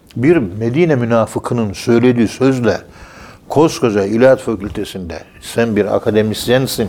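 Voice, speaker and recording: A man at a medium pitch and moderate pace, with ordinary pitch variation over noticeable background noise. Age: 60s. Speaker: professor of Sufism. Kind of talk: religious talk on radio.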